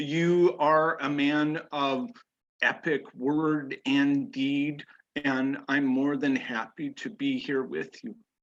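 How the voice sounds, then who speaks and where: A man with an American accent speaks at a very slow pace, with fairly high pitch and ordinary pitch variation. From US Midwest, Iowa. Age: 60s. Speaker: podcast guest. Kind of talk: interview.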